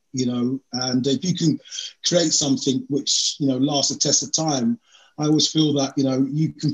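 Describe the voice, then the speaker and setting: A man talks at a moderate pace, somewhat breathy. The background is quiet. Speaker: podcast guest. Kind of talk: interview answer. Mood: relaxed, reminiscing, some laughs. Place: home room. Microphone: video call.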